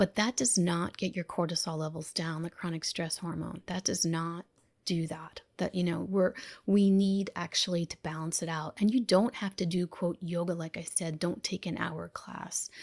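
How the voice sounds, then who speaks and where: In an unremarkable speaking voice, a woman talks at a moderate pace with fairly low pitch and fairly even intonation, recorded dry and close with no echo in a very clean, silent setting. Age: 50s. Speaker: physician and self-care coach. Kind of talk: interview.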